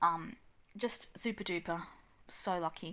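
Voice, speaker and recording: A woman with an Australian accent and a bright, sharp tone talks fairly slowly with ordinary pitch variation, in a very clean recording over a silent background. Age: 40s. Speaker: mum vlogger. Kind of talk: casual vlog. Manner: hesitant with many ums.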